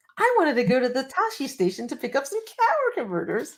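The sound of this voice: In a whiny, high-pitched put-on character voice, the speaker rattles along at a very fast pace.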